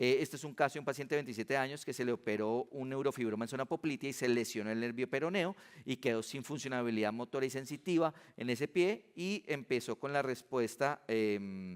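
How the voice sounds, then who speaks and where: A man speaks at a fairly quick pace with medium pitch and ordinary pitch variation. The sound is dry and close, with no echo. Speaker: physician giving a conference talk. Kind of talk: conference lecture. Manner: fast.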